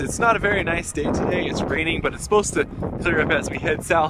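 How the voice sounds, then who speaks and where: Amid noticeable background noise, a man speaks very fast in a dry setting with no echo. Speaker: travel vlogger. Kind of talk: casual vlog chat. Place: open country. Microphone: phone near.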